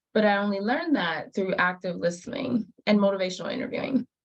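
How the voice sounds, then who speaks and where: Medium pitch and ordinary pitch variation in a female voice. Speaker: health educator. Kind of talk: training lecture. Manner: fast.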